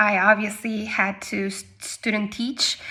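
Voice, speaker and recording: A woman with a Spanish accent talks at a very slow pace in a fairly high voice. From Argentina, Patagonia. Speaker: English teacher. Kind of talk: personal testimony. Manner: casual, with frequent hesitations.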